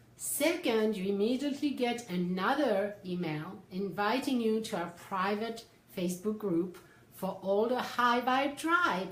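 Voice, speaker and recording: In a French accent, the speech moves at a fairly slow pace. Noticeable background noise and audible room echo are present. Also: woman, fairly high pitch for a woman, lively intonation. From France. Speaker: psychotherapist and life coach. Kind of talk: livestream talk. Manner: animated.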